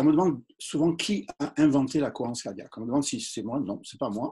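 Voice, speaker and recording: A man talks at a fairly quick pace with lively intonation. His tone is dark and mellow. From southern France. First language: English (speaking French). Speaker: doctor. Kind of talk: interview. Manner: hesitant, many fillers.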